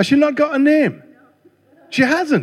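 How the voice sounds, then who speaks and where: A man is talking. His pace is fairly slow. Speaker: visiting preacher. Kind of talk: sermon. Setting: church.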